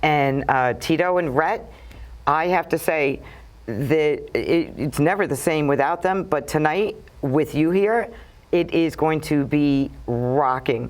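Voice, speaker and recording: A woman speaks very slowly with a strong Brooklyn accent. Her pitch is very deep and low, with ordinary variation. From Brooklyn, New York. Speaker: TV talk show host. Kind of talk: casual interview chat. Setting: TV studio.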